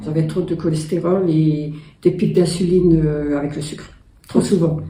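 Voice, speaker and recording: Dark, mellow, somewhat breathy speech in a monotone, flat intonation at a moderate pace, with audible room echo. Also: woman, very deep, low pitch for a woman. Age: 60s. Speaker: program participant giving testimonial. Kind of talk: testimony. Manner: hesitant.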